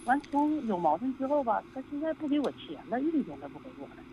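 A woman speaks at a fairly quick pace. Noticeable background noise is audible. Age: 50s. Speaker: caller. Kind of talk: call-in advice talk. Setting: phone call. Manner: halting.

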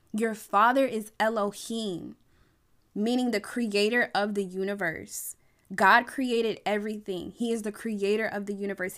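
An unremarkable speaking voice from a woman at medium pitch and moderate pace, in a very clean recording with a silent background. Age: 20s. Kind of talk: solo faith podcast monologue shifting into impassioned sermon-style exhortation. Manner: casual, bubbly and chatty; rising preacher cadence with rhythmic repetition.

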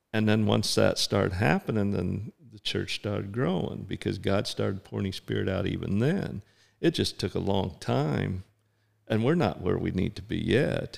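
A fairly low-pitched man's voice with vocal fry and lively intonation, at a moderate pace, on a very clean recording with a silent background. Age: 60s. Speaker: pastor. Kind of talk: casual chat.

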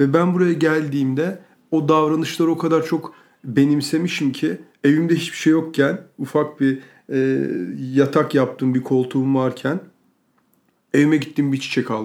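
At a moderate pace, a man talks with fairly even intonation and a fairly high pitch. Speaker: podcast co-host. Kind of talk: casual chat.

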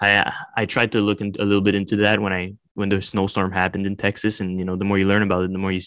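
At a very fast pace, a man with a fairly low pitch talks in a monotone, flat intonation. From Quebec, small town outside Montreal. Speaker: film student. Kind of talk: casual interview chat. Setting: remote call.

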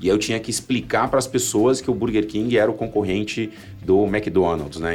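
Over background music, a man speaks at a very fast pace. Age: 40s. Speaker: marketing executive. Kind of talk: casual chat.

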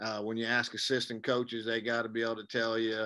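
Bright, sharp man's voice at medium pitch in a very clean recording with a silent background. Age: old. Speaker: podcast host for coaches. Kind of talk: podcast interview.

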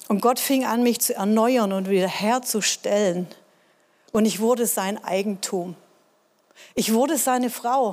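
A woman's animated, fairly high voice at a fairly slow pace, with ordinary pitch variation and long, frequent pauses. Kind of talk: sermon with personal testimony. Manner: earnest, emotional, conversational; animated, direct address to congregation.

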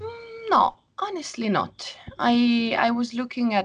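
A woman speaks at a medium pitch. Her voice has very wide pitch swings. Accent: Italian. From Italy (Rome). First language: Italian. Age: 20s. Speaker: biologist and filmmaker. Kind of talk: interview. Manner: halting.

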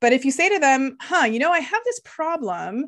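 A woman with a Canadian accent speaks at a moderate pace in a high voice, her pitch swinging very widely. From Canada, child of Lithuanian immigrants. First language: Lithuanian. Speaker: neuroscientist and opera singer. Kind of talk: interview. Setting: remote call.

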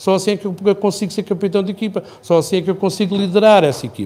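Speaking very quickly, this voice carries a dark, mellow tone. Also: man. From Portugal, Algarve (Faro). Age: 60s. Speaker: architect and mayoral candidate. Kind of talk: interview.

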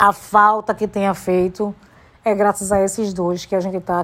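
A woman talks in an animated tone. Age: 40s. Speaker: podcaster. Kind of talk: personal monologue.

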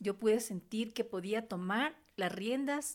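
Speech from a woman, very clean recording, silent background. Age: 40s. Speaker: podcast host, beautician and massage therapist. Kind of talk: personal testimony monologue. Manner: hesitant, many fillers.

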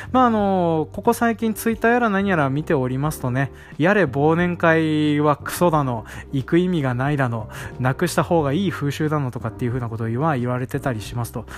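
Music plays in the background as a man speaks at a fairly quick pace. His fairly high voice makes very wide pitch swings. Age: 30s. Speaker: rice farmer and podcast host. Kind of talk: casual solo talk.

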